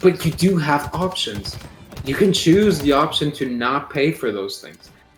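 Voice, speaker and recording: A man at a fairly slow pace with lively intonation, over noticeable background noise. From Portugal. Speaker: streamer. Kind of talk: casual chat.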